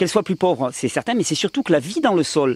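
With noticeable background noise yet a dry, close sound and no echo, a man speaks with very wide pitch swings. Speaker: health video host. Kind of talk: casual chat. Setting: home with friends around table.

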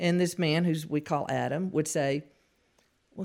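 A woman speaks with a Southern US accent. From Louisiana. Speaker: author. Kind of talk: testimony.

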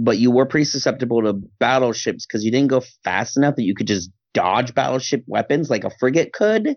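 A man with a plain, everyday voice, moderate pace and ordinary pitch variation. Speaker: podcast co-host. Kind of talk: casual chat. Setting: video call.

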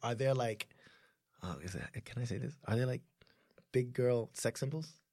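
With an American accent, a man of medium pitch sounds somewhat breathy and talks at a fairly quick pace. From US, Haitian family. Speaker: podcast co-host. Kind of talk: casual chat.

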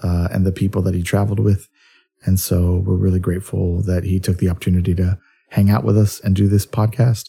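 A man's very deep, low voice, dark and mellow, somewhat breathy with fairly even intonation, on a very clean recording with a silent background. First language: Spanish. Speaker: podcast host, poet laureate. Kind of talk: casual interview chat.

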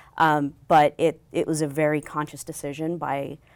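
A woman speaks with an American accent at a very deep, low pitch. The recording is very clean, with a silent background. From New Mexico, US. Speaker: university fundraising director. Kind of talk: interview.

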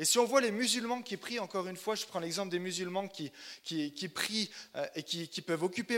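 Speaking at a moderate pace, a man uses a high pitch, a bright, sharp tone and lively intonation. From Burgundy, France (Chalon-sur-Saône). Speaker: missionary preacher. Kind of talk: sermon. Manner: halting, frequent repetitions and fillers.

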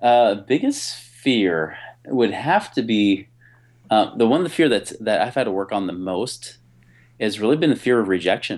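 An unremarkable speaking voice with an American accent, lively intonation and a moderate pace. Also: man, medium pitch for a man. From US Pacific Northwest, near Portland, Oregon. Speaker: entrepreneur and business consultant. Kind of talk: interview. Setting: remote call.

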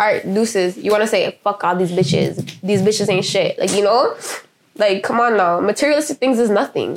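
A woman speaks at a fairly quick pace and a fairly high pitch, with ordinary pitch variation. Hers is an unremarkable speaking voice. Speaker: actor in web series. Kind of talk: casual chat.

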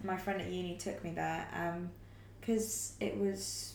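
Audible room echo is present. The speaker is a woman. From Wales. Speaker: actor and director. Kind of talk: casual chat.

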